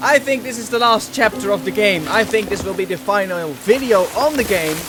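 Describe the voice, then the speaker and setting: A man's high-pitched voice at a fairly quick pace, with lively intonation and noticeable background noise. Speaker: let's play gamer. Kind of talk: casual gameplay commentary.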